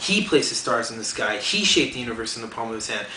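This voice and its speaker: A man's very fast speech comes through noticeable background noise. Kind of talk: spoken word poetry performance.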